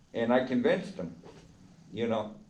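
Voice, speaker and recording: Lively intonation comes through along with audible room echo. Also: man. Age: 70s. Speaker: formerly incarcerated man. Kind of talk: personal storytelling. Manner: animated.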